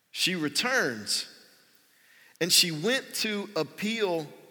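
A man with a bright, sharp tone and vocal fry swings his pitch very widely, captured on a very clean recording with a silent background. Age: 40s. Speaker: pastor. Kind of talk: sermon. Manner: casual and conversational, with fillers.

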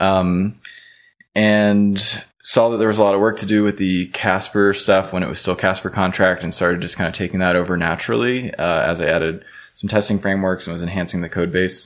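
With an American accent, a man with a very deep, low pitch talks at a fairly quick pace and fairly even intonation. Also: very clean recording, silent background. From US South, Louisiana (Baton Rouge). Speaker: blockchain researcher. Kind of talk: podcast interview. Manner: frequent fillers, casual.

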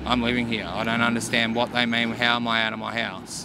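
Through noticeable background noise, a man with an Australian accent speaks at medium pitch. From Mornington Peninsula, Victoria, Australia. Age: 30s. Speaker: homeless man. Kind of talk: interview.

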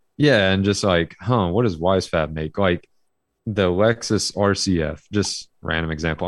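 With an Alabama accent, a man talks. His pitch is very deep and low. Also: quiet background. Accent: Southern US (Alabama). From Alabama, US South. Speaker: amateur drift racer. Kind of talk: casual chat.

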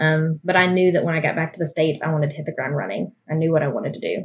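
Talking at a very fast pace, a woman with a fairly low, somewhat breathy voice keeps her intonation fairly even. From Arkansas, Little Rock (army brat, moved around). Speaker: birth photographer. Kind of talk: casual interview.

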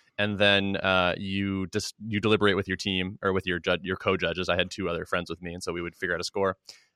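Very deep and low, the man's voice has a bright, sharp tone and monotone, flat intonation. He talks at a very fast pace with hardly any pauses, in a dry, close sound with no echo and a quiet background. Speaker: podcast host. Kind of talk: casual interview.

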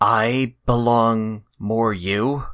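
A man's put-on character voice at a medium pitch. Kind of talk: broken grammar. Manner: broken, halting speech.

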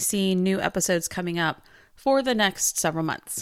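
A woman with a plain, everyday voice speaks at a medium pitch with lively intonation on a very clean recording with a silent background. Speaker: podcast host. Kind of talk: casual podcast hosting and interview.

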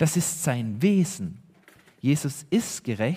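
A man with a dark, mellow tone sounds somewhat breathy in a very clean recording with a silent background. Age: 30s. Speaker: pastor. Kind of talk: sermon. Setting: church. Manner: earnest, preaching; emphatic, repeating key phrases.

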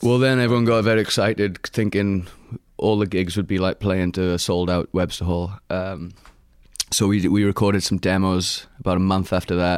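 At a moderate pace, a man talks in a very deep, low voice with very even loudness, in a very clean recording with a silent background. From Wales, Rhondda Valley. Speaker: singer-songwriter and model. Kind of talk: casual interview chat.

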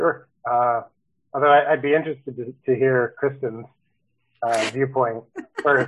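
A man with an American accent talks fairly slowly at medium pitch with monotone, flat intonation. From Baltimore, Maryland. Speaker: software development manager. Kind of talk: casual interview.

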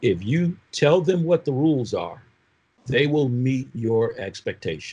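Somewhat breathy and dark, mellow in tone, a man with an American accent speaks at a fairly slow pace with lively intonation. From Oakland, California and Michigan. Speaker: prosecutor and former police officer. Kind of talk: panel discussion.

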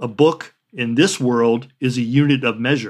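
A man with a General American accent uses an ordinary speaking voice at a medium pitch, with ordinary pitch variation and a fairly slow pace. The recording is very clean, with a silent background. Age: 60s. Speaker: artist and writer. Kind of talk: interview.

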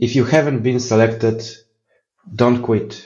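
With a Polish accent, a man speaks in fairly even intonation amid audible room echo. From Poland. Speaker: software architect. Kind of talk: interview.

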